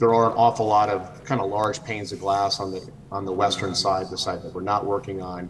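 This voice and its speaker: A man with a normal speaking voice and fairly low pitch talks at a moderate pace with fairly even intonation. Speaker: architect presenting for applicant. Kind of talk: public meeting presentation. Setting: video call.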